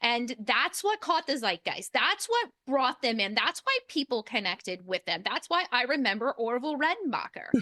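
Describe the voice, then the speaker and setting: Projecting a raised voice at a moderate pace with hardly any pauses, a woman with a high pitch makes very wide pitch swings in a dry, close sound with no echo. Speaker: podcast host. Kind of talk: interview. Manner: loud.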